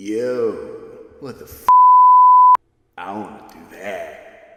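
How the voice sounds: A man's cartoonish character voice, medium-pitched and very slow, with sound effects in the background.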